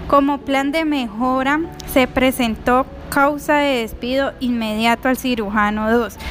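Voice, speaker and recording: A woman speaks at a fairly slow pace with a high pitch and fairly even intonation. Music plays in the background. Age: 20s. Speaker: nursing assistant. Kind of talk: prepared narration of a case.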